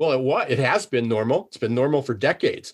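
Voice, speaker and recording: A man speaks with a somewhat breathy voice. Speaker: business consultant and speaker. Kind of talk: interview. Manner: halting.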